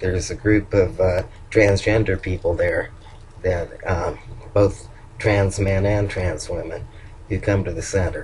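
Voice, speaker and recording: A man speaks in a Southern US accent at a fairly slow pace. His speech has long, frequent pauses. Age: old. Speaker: vlogger. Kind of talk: video diary. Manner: halting.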